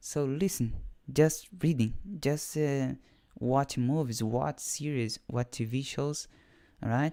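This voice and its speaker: On a very clean recording with a silent background, a man with a Portuguese accent speaks very slowly at medium pitch in a dark, mellow tone. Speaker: English learner and programming teacher. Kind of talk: live stream monologue. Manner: halting.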